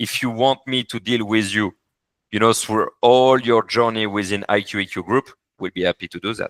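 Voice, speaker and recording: With a French accent, a man speaks in fairly even intonation, the sound dry and close with no echo. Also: medium pitch for a man, moderate pace. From France. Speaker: corporate services advisor. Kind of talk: business meeting. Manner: halting.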